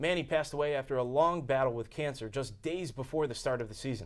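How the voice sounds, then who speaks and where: Here is a man with a normal speaking voice at a medium pitch. He talks at a fairly quick pace with ordinary pitch variation. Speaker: sports anchor and reporter. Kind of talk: sports news anchor read.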